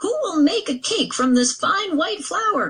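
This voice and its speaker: In a squeaky put-on character voice, a woman speaks at a fairly slow pace, extremely high in pitch with very wide pitch swings. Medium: read story. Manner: earnest, determined.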